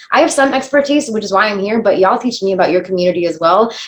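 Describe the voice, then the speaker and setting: Lively intonation marks a woman's speech, with noticeable background noise behind it. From United States. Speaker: diversity workshop facilitator. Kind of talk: workshop presentation. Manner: fast.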